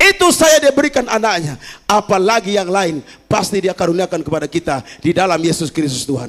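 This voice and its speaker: Speaking in a Kupang accent, a man with a high pitch talks fairly quickly in an animated tone with very wide pitch swings. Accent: Kupang accent slipping in. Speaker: pastor. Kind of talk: sermon. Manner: animated, engaging the congregation.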